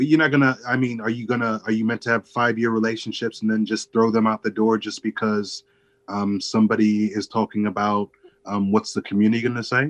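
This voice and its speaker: A man with an American accent speaks at a fairly quick pace in a medium pitch, his intonation flat and monotone, the sound dry and close with no echo. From Chicago area, US. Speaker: creator of a storytelling project. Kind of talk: casual chat.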